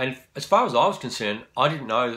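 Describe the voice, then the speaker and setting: A man's voice has a bright, sharp tone and lively intonation. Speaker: musician. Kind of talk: casual chat. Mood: warm, reminiscing. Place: home room. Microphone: phone near.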